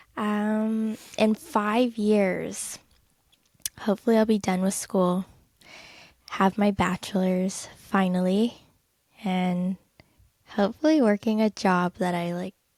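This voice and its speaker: This woman has a Californian accent and a fairly high pitch. Her intonation stays fairly even, and the sound is dry and close with no echo. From Southern California, LA area. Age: 20s. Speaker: podcast co-host. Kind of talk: casual chat.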